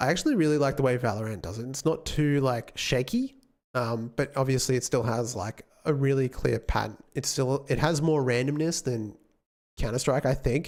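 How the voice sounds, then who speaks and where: Here a man speaks with an Australian accent. His pitch is medium, with ordinary variation. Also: moderate pace. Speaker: game developer streamer. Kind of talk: live stream chat. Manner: casual, hesitant with fillers.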